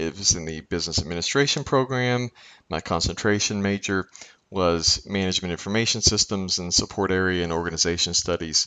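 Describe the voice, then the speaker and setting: A man talks with a very deep, low pitch and a slight Kentucky accent. His pitch varies in an ordinary way. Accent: slight Kentucky twang. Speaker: professor. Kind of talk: lecture. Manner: halting, many fillers.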